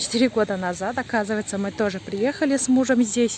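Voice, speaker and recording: A woman's fairly high voice with a non-native accent, a fairly quick pace and ordinary pitch variation. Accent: non-native Russian. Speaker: vlogger. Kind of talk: casual vlog narration. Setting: outdoors.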